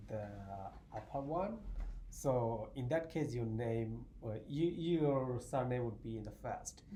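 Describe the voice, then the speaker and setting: A man speaks in a dark, mellow, somewhat breathy tone with ordinary pitch variation. The audio carries audible room echo. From Bangladesh, southeast. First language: Bengali. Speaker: math graduate student. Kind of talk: casual interview chat.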